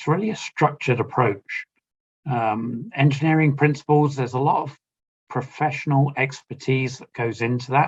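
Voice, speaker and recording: A man with a British accent speaks at a moderate pace and a fairly high pitch. His voice is somewhat breathy, with ordinary pitch variation. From United Kingdom. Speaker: asset management engineer presenting. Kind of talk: conference webinar presentation. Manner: casual with fillers.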